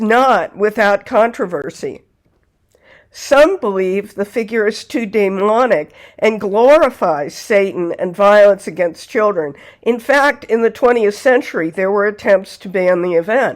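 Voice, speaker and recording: On a very clean recording with a silent background, a woman speaks at a fairly slow pace in a plain, everyday voice that is fairly high in pitch. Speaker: folklore channel host. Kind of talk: folklore narration to camera.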